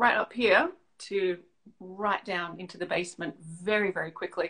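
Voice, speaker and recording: Speaking with an Australian accent, a woman keeps a moderate pace. Her pitch is medium. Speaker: leadership coach. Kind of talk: interview.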